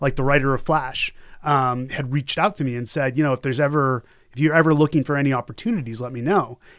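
A man with an American accent talks at a fairly quick pace in an unremarkable speaking voice, fairly high in pitch, with fairly even intonation. The recording is very clean, with a silent background. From US Northeast, Boston area. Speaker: journalism lecturer. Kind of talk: casual interview.

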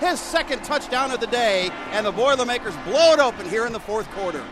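A raised, projected voice at a moderate pace over noticeable background noise. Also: man. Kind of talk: live radio sports commentary. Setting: radio broadcast highlights. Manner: excited, emphatic on touchdowns.

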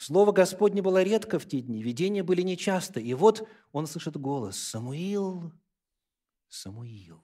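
A man with a high, dark and mellow voice speaks fairly slowly with long, frequent pauses, lively intonation and big swings in loudness, on a very clean recording with a silent background. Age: 40s. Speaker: pastor. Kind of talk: sermon.

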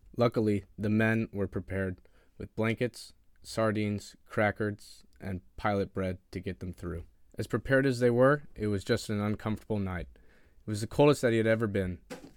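A man with an ordinary speaking voice speaks in a fairly low pitch. The recording is very clean with a silent background and a dry, close sound with no echo. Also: fairly even intonation, moderate pace. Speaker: naval academy student. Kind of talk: prepared narration of family history.

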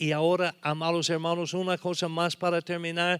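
A man with a fairly high pitch, bright and sharp in tone, at a moderate pace, dry, close sound with no echo. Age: 70s. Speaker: preacher. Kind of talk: sermon. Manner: halting.

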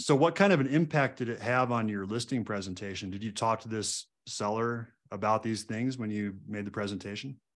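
At a fairly quick pace, a man speaks with medium pitch and ordinary pitch variation. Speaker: podcast host. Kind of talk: interview conversation. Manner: upbeat, enthusiastic.

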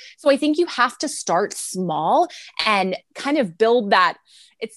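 Her pitch swings very widely as a woman speaks with an American accent. The sound is dry and close, with no echo. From Texas, San Antonio. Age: 30s. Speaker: ministry founder and author. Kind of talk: interview.

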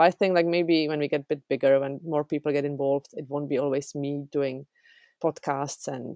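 A woman with a Czech accent, very deep and low in pitch, dark and mellow in tone, at a fairly quick pace with fairly even intonation, in a dry, close sound with no echo and a quiet background. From Czech Republic. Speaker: software developer. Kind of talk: interview.

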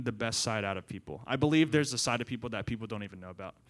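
In a very clean recording with a silent background, a man speaks very fast at a medium pitch with lively intonation. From Central Maryland, US. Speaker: young adults ministry assistant. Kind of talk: interview testimony.

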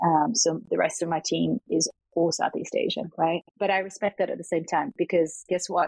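Here a woman speaks with an Australian accent and ordinary pitch variation. Her loudness stays very even, and the sound is dry and close with no echo. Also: fairly low pitch for a woman, moderate pace. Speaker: venture capital investor. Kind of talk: interview.

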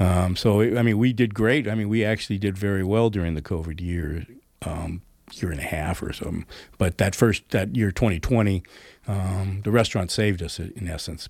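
A man with an American accent speaks at a fairly quick pace in a plain, everyday voice, fairly low with ordinary pitch variation. The recording is very clean, with a silent background. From Northern California, Oakland area. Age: 60s. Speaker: brewery owner and entrepreneur. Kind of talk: radio interview. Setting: radio studio.

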